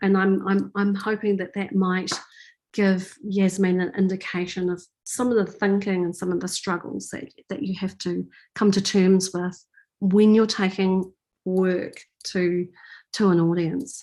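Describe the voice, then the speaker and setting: A woman's dark, mellow, medium-pitched voice with a New Zealand accent, fairly slow, in monotone, flat intonation over a quiet background. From New Zealand, Auckland. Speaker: artist and filmmaker. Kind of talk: Q&A after lecture. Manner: halting.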